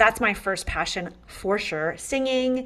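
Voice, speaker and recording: At a moderate pace, a woman speaks with a Canadian accent. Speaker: interior designer and podcaster. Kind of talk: casual interview chat. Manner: upbeat, enthusiastic.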